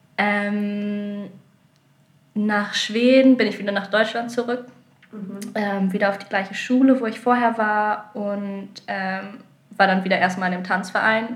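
In a room with audible echo, a woman speaks at a very slow pace, her somewhat breathy voice medium in pitch. Her intonation is monotone and flat, with big swings in loudness. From northern Germany (Lower Saxony, near Hamburg/Bremen). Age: 20s. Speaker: contemporary dancer. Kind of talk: interview. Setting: recorded in Sardinia.

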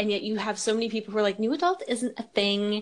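A woman with a normal speaking voice talks at a fairly quick pace. Her intonation stays fairly even. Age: 20s. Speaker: podcast host. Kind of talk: casual chat.

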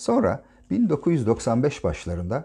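Against a quiet background, a man's voice comes through somewhat breathy in a dark, mellow tone. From Turkey, Ankara. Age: 50s. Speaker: podcaster, retired naval officer. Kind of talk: personal diary narration.

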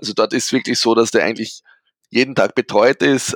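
A man at medium pitch, talking very fast, in a dry, close sound with no echo. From Austria, rural area. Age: 20s. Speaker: disc golf player. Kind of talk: interview. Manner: animated.

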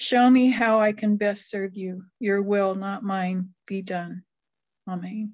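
Somewhat breathy and monotone, a woman speaks at medium pitch and a very slow pace with flat intonation. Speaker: co-speaker at a recovery meeting. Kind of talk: personal recovery talk. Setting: online video meeting.

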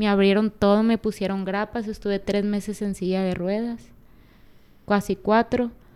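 Recorded very cleanly against a silent background, a woman speaks at a moderate pace with monotone, flat intonation. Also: medium pitch for a woman. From Mexico, Culiacán, Sinaloa. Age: 20s. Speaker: former Olympic taekwondo athlete. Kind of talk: interview. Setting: office.

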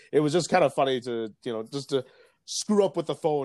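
Recorded very cleanly with a silent background and a dry, close sound with no echo, a man talks in a normal speaking voice at a fairly quick pace with ordinary pitch variation. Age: 30s. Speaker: podcast host and journalist. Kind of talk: casual chat.

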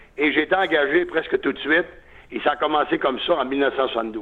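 Here a man speaks at a fairly quick pace with a fairly high pitch. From Quebec, Lac-Saint-Jean (Alma). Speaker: sports radio broadcaster. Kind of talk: interview.

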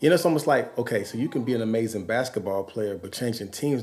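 Speaking very fast, a man talks with an American accent. His pitch is medium, with ordinary variation. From Los Angeles. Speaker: musician and pastor. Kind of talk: casual chat.

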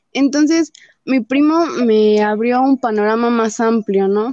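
Recorded in a dry, close sound with no echo, a woman speaks very slowly with ordinary pitch variation. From Mexico, Nezahualcóyotl (State of Mexico). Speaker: feminist activist. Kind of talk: interview conversation.

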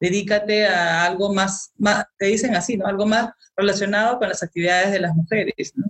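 A woman's medium-pitched, ordinary speaking voice, dry and close with no echo, fairly even in intonation, very even in loudness, at a moderate pace. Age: 40s. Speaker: molecular biologist. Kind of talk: interview.

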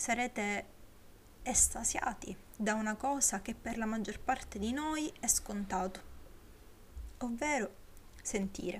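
Her pace is very slow, broken by long, frequent pauses. The woman's voice is somewhat breathy, with ordinary pitch variation. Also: fairly high pitch for a woman. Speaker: podcaster. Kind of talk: solo podcast film review. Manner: slightly slurred articulation; hesitant, many fillers.

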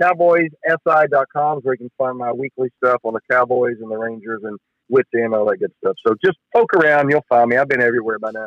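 A man talks at a medium pitch with ordinary pitch variation and hardly any pauses, in an ordinary speaking voice. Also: fairly quick pace. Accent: American. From Texas, Dallas area. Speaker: sports journalist. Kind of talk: casual chat. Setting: phone call.

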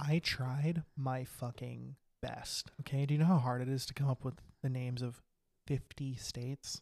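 Somewhat breathy male voice at a medium pitch and moderate pace. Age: 20s. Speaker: comedy podcast co-host. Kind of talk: casual chat. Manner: quiet at the beginning.

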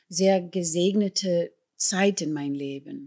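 In a very clean recording with a silent background, a woman speaks at a medium pitch with lively intonation. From New York City, South Bronx (Puerto Rican family). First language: English (speaking German). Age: 60s. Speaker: musical performer and singer. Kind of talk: interview.

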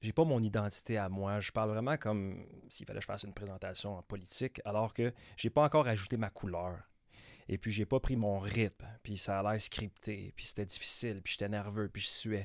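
A man with a Quebec accent speaks at a fairly quick pace and a fairly low pitch, with ordinary pitch variation. The recording is very clean, with a silent background. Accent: Québécois French. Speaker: real estate broker. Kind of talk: casual interview. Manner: fast; mumbling words, stumbling.

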